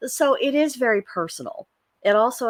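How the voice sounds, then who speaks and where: A woman speaks with an American accent and lively intonation. The recording is very clean and dry, with a silent background and a close sound with no echo. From Missouri, rural US Midwest. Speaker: astrology and pagan forecast host. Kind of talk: casual monologue forecast. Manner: frequent fillers, uh and you know.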